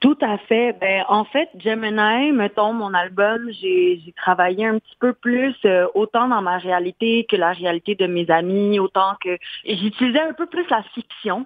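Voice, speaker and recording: A woman's medium-pitched voice, fairly slow, with hardly any pauses and ordinary pitch variation. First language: English or Spanish (speaking French). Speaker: singer and fashion model. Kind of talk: radio interview. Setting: phone call.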